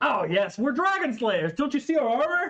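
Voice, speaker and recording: A man puts on a character voice with an extremely high pitch. He is loud and keeps a moderate pace. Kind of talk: comic overacting. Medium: actual play. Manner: loud, hearty, boastful.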